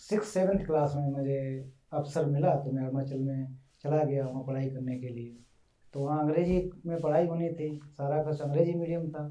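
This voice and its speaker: There is audible room echo as a man speaks at a fairly high pitch, keeping a moderate pace and fairly even intonation. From India, western Uttar Pradesh. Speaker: translator. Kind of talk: interview.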